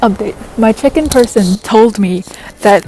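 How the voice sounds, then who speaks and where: A woman at a medium pitch with ordinary pitch variation and a moderate pace, music in the background. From Malaysia. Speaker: vlogger, university student. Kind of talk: casual travel vlog.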